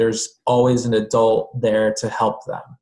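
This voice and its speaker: The voice has an American accent and sounds somewhat breathy. It moves at a moderate pace over a quiet background. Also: man. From New Jersey. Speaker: school district technology leader; teacher or educator. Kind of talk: group discussion. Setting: video call. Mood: casual, reflective. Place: home room. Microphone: video call.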